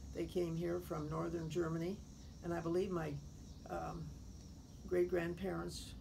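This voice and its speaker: A woman with a Midwestern American accent talks at a moderate pace, with some room echo audible. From US Midwest, Effingham, Illinois. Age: 80s+. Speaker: retired teacher. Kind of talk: oral history interview. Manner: formal.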